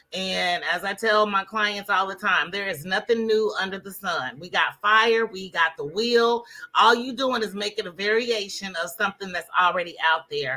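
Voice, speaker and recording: With hardly any pauses, a woman speaks at a moderate pace and medium pitch with ordinary pitch variation. Her tone is bright and sharp, and her loudness swings widely. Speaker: Facebook ads coach. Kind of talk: interview.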